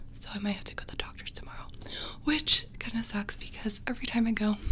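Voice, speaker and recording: The speaker is soft-spoken, with fairly even intonation at a moderate pace. Light background noise is present. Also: woman. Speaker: ASMR creator. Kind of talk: casual vlog chat. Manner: soft-spoken, slightly sick voice close to mic. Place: home room. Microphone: studio mic.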